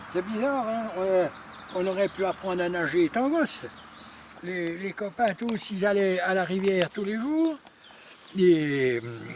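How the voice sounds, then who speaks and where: A high-pitched man with lively intonation, a fairly slow pace and long, frequent pauses, over noticeable background noise. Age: 80s+. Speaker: retired angler. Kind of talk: casual interview.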